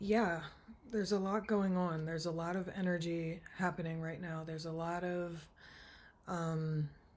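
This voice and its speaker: Soft-spoken and at a fairly low pitch, a woman talks at a moderate pace in monotone, flat intonation, with audible room echo around her. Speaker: tarot reader. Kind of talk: tarot reading monologue.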